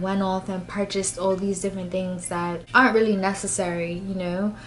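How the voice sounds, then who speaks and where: Room echo can be heard around this woman's voice. She talks fairly quickly. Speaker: beauty vlogger. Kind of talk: casual vlog talk to camera.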